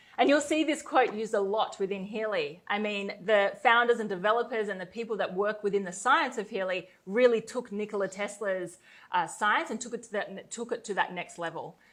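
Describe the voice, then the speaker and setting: A woman's fairly high voice in an Australian accent, fairly quick, with ordinary pitch variation and big swings in loudness, over a quiet background. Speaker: network marketer. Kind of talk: sales pitch. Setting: webinar.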